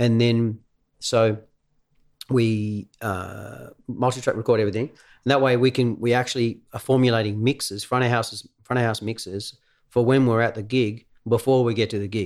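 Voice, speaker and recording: A man with an Australian accent talks at a moderate pace in a medium pitch. His intonation is monotone and flat, on a very clean recording with a silent background. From Tasmania, Australia (Devonport). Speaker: musician and musical director. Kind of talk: casual chat.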